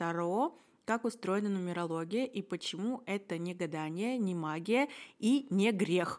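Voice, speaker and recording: A woman with an ordinary speaking voice talks at a medium pitch with ordinary pitch variation, in a very clean recording with a silent background. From Russia, Yekaterinburg. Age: 20s. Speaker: podcast host. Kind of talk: casual chat.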